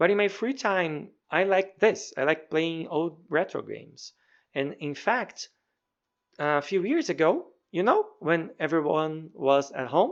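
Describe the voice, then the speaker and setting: A man talks with a high pitch and a Brazilian Portuguese accent. The background is quiet. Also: ordinary pitch variation, fairly slow pace. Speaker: professor and hobby game programmer. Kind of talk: devlog narration. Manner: halting, frequent word repetitions.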